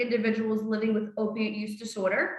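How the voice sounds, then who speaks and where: Audible room echo surrounds a woman with a South Philadelphia accent. She speaks at a fairly quick pace. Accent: South Philly. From Philadelphia, South Philly. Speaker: harm reduction coordinator, trainer. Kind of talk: online training presentation.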